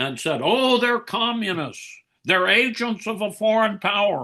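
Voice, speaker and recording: A man uses a raised, projected voice with a high pitch and a bright, sharp tone. His pace is very slow. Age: 80s+. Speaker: author. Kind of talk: podcast interview. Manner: animated.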